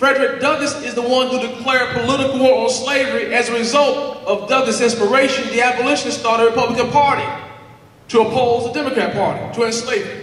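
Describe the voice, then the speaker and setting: A very fast man's voice with an American accent, extremely high in pitch, with fairly even intonation, audible room echo and noticeable background noise. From US South, Alabama. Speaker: political speaker. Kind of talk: rally speech.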